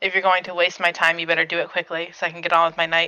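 A put-on character voice at a middle pitch rattles along at a very fast pace in a monotone, flat intonation. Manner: curt, impatient.

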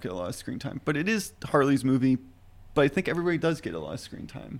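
A man talking at a very fast pace, with vocal fry. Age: 30s. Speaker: podcast panelist. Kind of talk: casual chat. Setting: studio.

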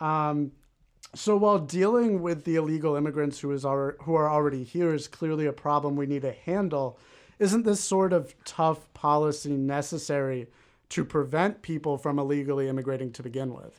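On a very clean recording with a silent background, a man uses an ordinary speaking voice with a fairly high pitch. He keeps a moderate pace with ordinary pitch variation. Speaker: moderator and media producer. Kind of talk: heated debate.

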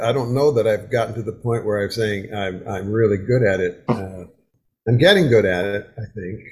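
A man speaks with a somewhat breathy voice. His pitch varies in an ordinary way. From US Midwest (Wisconsin). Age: 70s. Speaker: folk singer. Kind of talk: casual interview. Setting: home video call.

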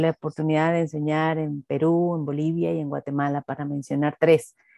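A woman's very deep, low-pitched voice with a dark, mellow tone, dry and close with no echo, over a quiet background. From Venezuela. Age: 50s. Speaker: pastor and eco-theology activist. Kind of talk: interview.

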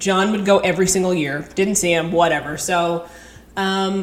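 Speaking in a plain, everyday voice with an American accent, a woman talks at a fairly low pitch and a fairly slow pace with fairly even intonation. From California. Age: 30s. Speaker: phlebotomist. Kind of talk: casual chat.

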